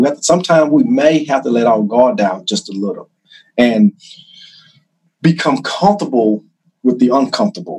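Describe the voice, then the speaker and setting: A man speaks with a Carolinas accent at a moderate pace. His pitch swings very widely. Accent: Southern US (Carolinas). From US South, South Carolina (Chesterfield). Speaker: criminal justice instructor and former law enforcement officer. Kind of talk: interview storytelling.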